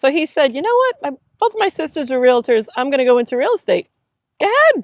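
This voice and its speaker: A high-pitched woman speaks very fast, her pitch swinging very widely. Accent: Long Island. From Long Island, New York. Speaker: realtor. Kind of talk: casual interview chat. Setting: inside an RV.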